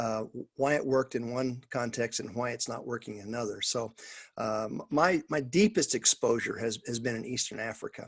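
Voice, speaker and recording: A man talks at a medium pitch and a moderate pace. His pitch varies in an ordinary way. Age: 60s. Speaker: pastor and missions trainer. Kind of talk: coaching talk on a video call. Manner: halting, many fillers and restarts.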